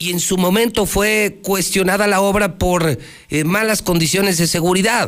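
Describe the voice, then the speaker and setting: The speech runs with hardly any pauses, very even loudness and fairly even intonation. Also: man, high pitch for a man. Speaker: radio news host. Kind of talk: news talk show with opinion. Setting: radio studio, simulcast on TV. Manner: emphatic, repetitive.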